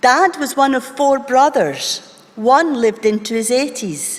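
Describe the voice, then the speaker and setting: This woman speaks at a very slow pace with a Scottish accent. Her pitch is high. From Scotland, Wishaw (Lanarkshire). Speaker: doctor, medical college leader. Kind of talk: conference keynote speech. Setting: stage with audience. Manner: formal.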